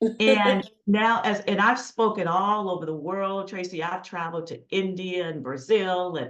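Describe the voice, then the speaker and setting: Fairly slow, medium-pitched speech from a woman, with ordinary pitch variation in audible room echo. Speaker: keynote speaker and consultant. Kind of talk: podcast interview.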